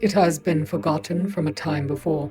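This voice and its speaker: Over clear background noise, a woman puts on a character voice with a very deep, low pitch at a moderate pace. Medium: read story. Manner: flat, literal, unemotional.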